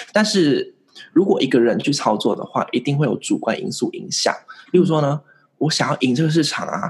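The pace is moderate. It is a normal speaking voice. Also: man. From Vietnam. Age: 20s. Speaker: investing YouTuber. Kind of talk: interview.

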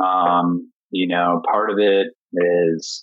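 This is a man speaking with a Midwestern US accent. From Indiana. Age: 40s. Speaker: chef. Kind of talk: casual interview chat. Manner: hesitant, many fillers.

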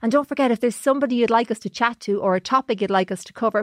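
An Irish accent with ordinary pitch variation, in a dry, close sound with no echo against a quiet background. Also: woman. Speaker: podcast host, journalist. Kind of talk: casual chat.

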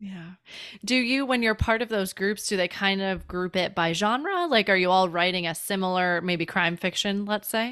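On a very clean recording with a silent background, a woman with a Midwestern US accent speaks in a bright, sharp tone with ordinary pitch variation. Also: medium pitch for a woman, moderate pace. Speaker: podcast host. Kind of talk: casual interview chat.

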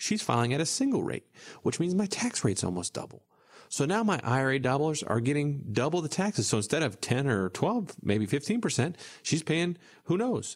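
A fairly high-pitched man's voice with very wide pitch swings on a very clean recording with a silent background. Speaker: financial advisor and radio show host. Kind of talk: casual radio talk show chat. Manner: mumbles; slight twang, can slur.

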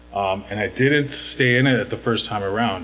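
Speaking at a fairly quick pace, a man is heard over music in the background. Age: 40s. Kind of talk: interview. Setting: podcast.

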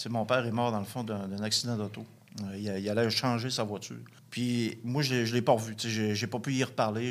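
A man talks at a moderate pace and medium pitch with monotone, flat intonation. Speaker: recovering addict. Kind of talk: testimony. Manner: halting.

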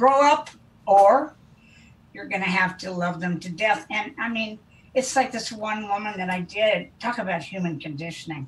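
A woman with an American accent talks at a moderate pace with ordinary pitch variation, noticeable background noise behind her. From US Midwest, Wichita, Kansas. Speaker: interventionist. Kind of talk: interview. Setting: video call.

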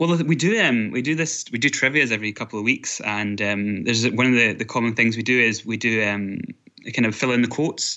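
A man speaks at a fairly quick pace, his pitch medium and its variation ordinary. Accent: Scottish. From Scotland. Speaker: online forum moderator. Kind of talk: interview. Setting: video call.

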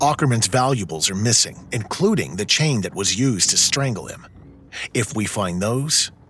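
Music plays in the background as a man with a medium pitch and a weary tone talks at a moderate pace, his pitch swinging very widely. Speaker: voice actor as ship's log-keeper and officer. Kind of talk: ghost-ship audio drama, log reading in character. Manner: grim, weary, urgent, haunted.

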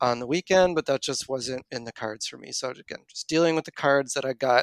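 The sound is dry and close with no echo. A man talks at a medium pitch and a fairly quick pace. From Canada, Nova Scotia. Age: 30s. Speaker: running coach and engineer. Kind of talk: interview conversation.

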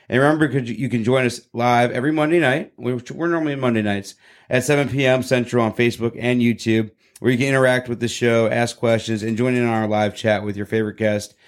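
On a very clean recording with a silent background, a man with a normal speaking voice talks at a fairly quick pace and medium pitch, keeping his intonation fairly even. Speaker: podcast host. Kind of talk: casual interview; scripted show intro.

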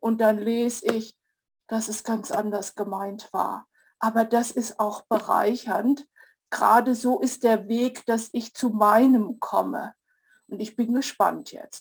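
A woman speaks very slowly with a fairly high pitch and a somewhat breathy voice. Her intonation is flat and monotone. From Zurich Oberland, Switzerland. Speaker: study group participant. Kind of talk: group discussion.

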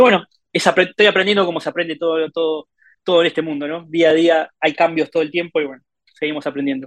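A man talks very fast in a high pitch with fairly even intonation. The sound is dry and close, with no echo. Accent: Rioplatense. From Argentina. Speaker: mobile game monetization lead. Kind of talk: casual interview. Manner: hesitant with filler words and repetitions.

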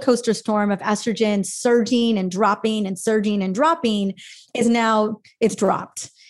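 A somewhat breathy woman's voice, fairly high in pitch, with fairly even intonation. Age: 40s. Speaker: functional medicine practitioner and author. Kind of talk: casual interview.

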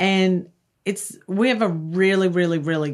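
On a very clean recording with a silent background, a woman speaks very slowly in a New York accent with ordinary pitch variation. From US Northeast (Long Island, New York). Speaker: professional organizer. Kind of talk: casual chat. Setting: studio.

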